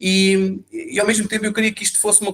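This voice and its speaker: This is a man talking. He speaks with a European Portuguese accent. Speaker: interview show host. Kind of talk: interview introduction. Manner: halting, many fillers.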